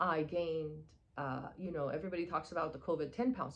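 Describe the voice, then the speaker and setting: A woman's voice with a Persian accent. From Iran, moved to Texas at twelve. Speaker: spiritual wellness coach. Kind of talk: casual monologue. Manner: hesitant, many fillers.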